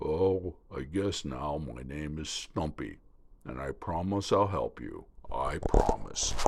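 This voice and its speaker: In a put-on character voice, a man speaks croaky and very deep at a fairly slow pace, with lively intonation and big swings in loudness, on a very clean recording with a silent background. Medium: read story.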